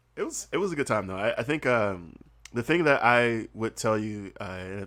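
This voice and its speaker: On a very clean recording with a silent background, a man with an American accent speaks fairly quickly at a fairly low pitch. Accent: slight Southern accent, mostly hidden. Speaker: comedian and podcaster, former English teacher in Korea. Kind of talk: casual podcast interview. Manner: animated, conversational with many fillers.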